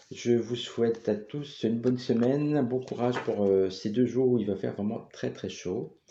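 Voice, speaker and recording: A man speaks at a moderate pace with a dark, mellow tone. His intonation stays fairly even, and he hardly pauses. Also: medium pitch for a man. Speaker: tarot card reader. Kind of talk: tarot reading monologue. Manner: calm.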